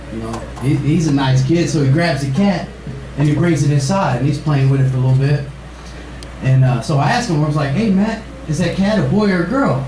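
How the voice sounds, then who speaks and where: A man with a fairly high pitch and ordinary pitch variation, fairly quick pace, audible room echo and noticeable background noise. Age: 20s. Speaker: stand-up comedian. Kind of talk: stand-up. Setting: stage with audience.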